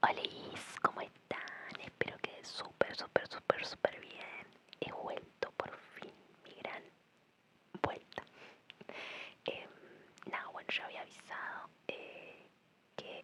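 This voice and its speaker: A woman whispers at a very slow pace, with long, frequent pauses. Her loudness swings widely over noticeable background noise. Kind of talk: casual ASMR chat to camera. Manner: whispered.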